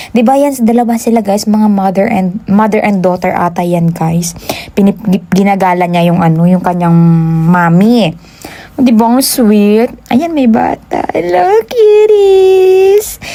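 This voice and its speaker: Fairly slow, medium-pitched female speech in a Western Visayas accent, animated in tone, with ordinary pitch variation, very even loudness, and noticeable background noise. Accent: Ilonggo accent in Tagalog. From Western Visayas, Philippines (Ilonggo). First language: Hiligaynon (speaking Tagalog). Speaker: vlogger. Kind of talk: vlog voice-over.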